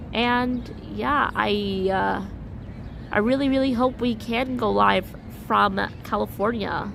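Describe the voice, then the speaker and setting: A woman speaks at a very slow pace with long, frequent pauses and very even loudness. Audible room echo surrounds her voice. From US, New York City. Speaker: vlogger, live streamer. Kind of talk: live stream chat. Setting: outdoors walking downtown.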